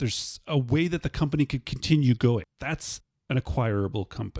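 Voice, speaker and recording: A man with a Canadian accent speaks in an ordinary speaking voice, with lively intonation at a moderate pace. The recording is very clean with a silent background and a dry, close sound with no echo. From Canada. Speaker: podcast host. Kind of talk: podcast episode wrap-up. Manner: casual, conversational.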